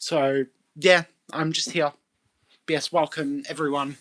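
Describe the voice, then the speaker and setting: The pace runs fairly quick. The voice comes with an Australian accent. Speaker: live streamer. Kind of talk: casual chat.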